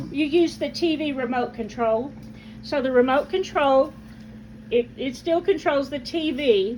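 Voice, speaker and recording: A woman talks in a high voice with ordinary pitch variation, noticeable background noise behind her. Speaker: family caregiver. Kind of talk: casual talk to camera.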